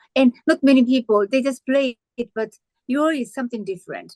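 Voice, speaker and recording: A woman speaks with a Japanese accent, her high-pitched voice full of lively intonation. The sound is dry and close, with no echo. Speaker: pianist and interviewer. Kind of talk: interview. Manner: halting.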